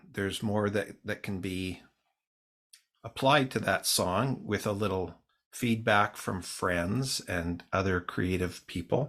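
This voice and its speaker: The recording is very clean, with a silent background, as a man with a Canadian accent speaks fairly slowly. He has an ordinary speaking voice with a fairly low pitch. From Canadian Prairies (Saskatoon, Winnipeg). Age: 60s. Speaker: singer-songwriter. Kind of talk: casual interview.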